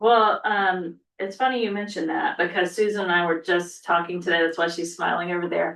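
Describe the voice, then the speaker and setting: A woman's plain, everyday voice, fairly low in pitch, with fairly even intonation, a fairly quick pace and hardly any pauses. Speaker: school superintendent. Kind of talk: board meeting report.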